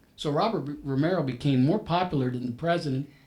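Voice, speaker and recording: Somewhat breathy, a man speaks at a fairly quick pace with lively intonation and a fairly high pitch. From US, Puerto Rican family, inner city. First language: Spanish. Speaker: business professional panelist. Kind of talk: panel talk. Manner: halting, many repeated words.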